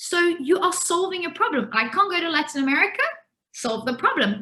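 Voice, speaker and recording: Her voice is raised and projected, and this woman uses lively intonation with a bright, sharp tone. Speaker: entrepreneur and business coach. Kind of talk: webinar masterclass talk. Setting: video call webinar. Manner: fast.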